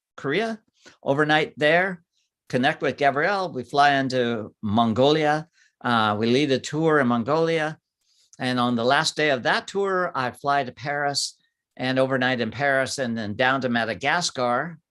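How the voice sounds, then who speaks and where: In an unremarkable speaking voice, a man talks at a moderate pace and fairly high pitch with ordinary pitch variation against a quiet background. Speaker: wildlife photographer and workshop leader. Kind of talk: live stream slideshow talk. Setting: live video stream.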